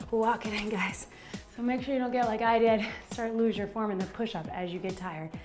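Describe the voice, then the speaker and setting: A woman speaks at a fairly quick pace. Faint music plays in the background. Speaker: fitness instructor. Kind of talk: workout instruction. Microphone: lapel.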